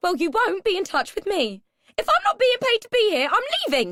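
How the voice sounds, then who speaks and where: In a put-on character voice, a woman squeaks out shrill, extremely high-pitched words at a fairly quick pace with very wide pitch swings, the sound dry and close with no echo. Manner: angry, indignant.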